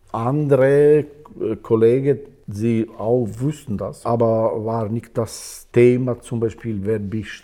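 In a dark, mellow tone, a man speaks at a fairly slow pace with fairly even intonation. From Kosovo. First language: Albanian (speaking German). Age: 60s. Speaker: musician. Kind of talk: casual chat. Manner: halting.

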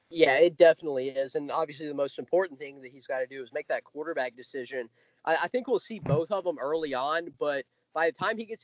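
A very fast-talking man with a fairly high pitch and an American accent. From US South. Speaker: college football writer. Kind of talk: podcast interview.

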